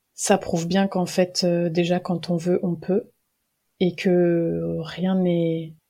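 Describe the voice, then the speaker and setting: A woman speaks very slowly with a dark, mellow tone and fairly low pitch. Her intonation is monotone and flat, and the recording is very clean over a silent background. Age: 20s. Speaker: history student and archives employee. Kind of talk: casual interview about a book.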